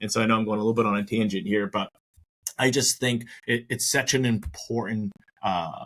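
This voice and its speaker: This man speaks at a fairly quick pace with an American accent, his pitch medium. He has a plain, everyday voice. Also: ordinary pitch variation. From Maine, US. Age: 30s. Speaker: retirement plan advisor. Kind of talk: podcast interview.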